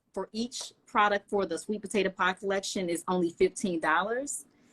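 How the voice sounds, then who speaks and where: Recorded in a dry, close sound with no echo, a woman speaks with a Southern US accent. Her pitch is medium. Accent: Southern twang. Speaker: hair care brand founder. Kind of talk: product promotion on livestream. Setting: live video stream.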